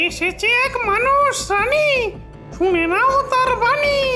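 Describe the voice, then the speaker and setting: A squeaky, cartoonish character voice speaks at a very slow pace over clear music in the background. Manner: rough, bossy.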